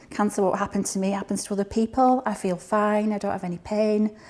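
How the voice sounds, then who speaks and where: The recording is very clean with a silent background. A woman with a Highland Scottish accent speaks at a medium pitch and a fairly quick pace. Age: 60s. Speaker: cancer patient. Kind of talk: testimony.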